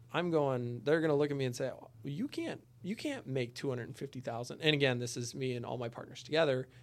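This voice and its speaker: Very fast speech from a man at a medium pitch with ordinary pitch variation. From South Dakota. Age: 30s. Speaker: commercial real estate investor. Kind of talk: casual chat.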